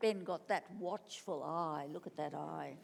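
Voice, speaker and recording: With an Australian accent, a woman speaks at a very slow pace. Her voice is fairly low in pitch, with vocal fry. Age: 80s+. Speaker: author and former gallery director. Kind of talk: on-stage festival interview. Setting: stage with audience.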